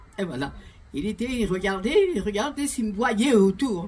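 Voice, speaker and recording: Noticeable background noise runs under this recording. A woman of medium pitch speaks at a moderate pace. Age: 80s+. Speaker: pastor's widow giving testimony. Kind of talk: testimony. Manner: halting.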